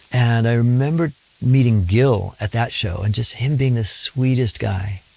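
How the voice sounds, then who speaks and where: With an American accent, a man talks at a fairly slow pace in a medium pitch, with ordinary pitch variation. His tone is dark and mellow, and somewhat breathy. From Sacramento, California. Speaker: musician. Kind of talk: interview storytelling. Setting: home studio. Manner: animated.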